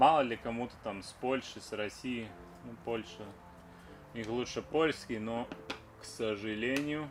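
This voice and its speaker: A man at medium pitch, with ordinary pitch variation, big swings in loudness, long and frequent pauses, and music in the background. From Latvia. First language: Latvian. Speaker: car restoration vlogger. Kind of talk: casual DIY vlog talk while working. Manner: casual, chatty.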